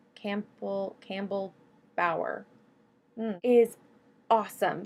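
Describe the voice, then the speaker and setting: The woman talks at a fairly slow pace. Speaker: YouTuber, student. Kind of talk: casual movie review vlog. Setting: dorm room. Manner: stumbling over words.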